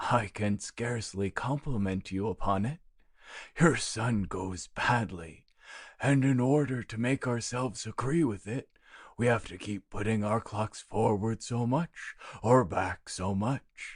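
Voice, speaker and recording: A put-on character voice with a low pitch moves at a fairly slow pace over a quiet background. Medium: read story.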